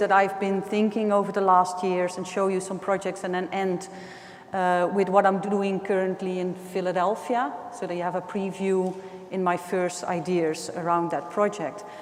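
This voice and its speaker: Medium-pitched woman at a moderate pace, with audible room echo. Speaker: artist. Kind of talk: lecture. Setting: gallery classroom with microphone.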